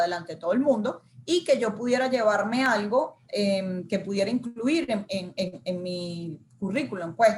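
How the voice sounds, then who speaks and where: The speaker is a woman with a fairly high pitch and ordinary pitch variation. Her voice is somewhat breathy. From Venezuela. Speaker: news reporter and marketing communications manager. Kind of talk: interview answer.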